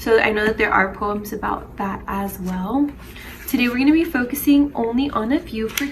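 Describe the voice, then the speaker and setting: A high-pitched woman's voice with ordinary pitch variation over noticeable background noise. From Denver, Colorado, US. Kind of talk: casual talk to camera.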